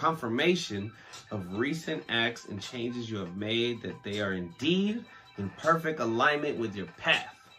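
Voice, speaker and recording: Faint background music accompanies a man as he talks. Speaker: podcast host. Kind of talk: podcast reading from sources. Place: home room.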